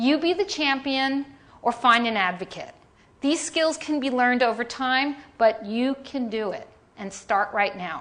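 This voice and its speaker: An animated, lively delivery in a New York accent at a fairly slow pace. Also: woman, high pitch for a woman. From New York, Staten Island. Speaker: design leader and keynote speaker. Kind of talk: keynote presentation. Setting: conference stage with audience.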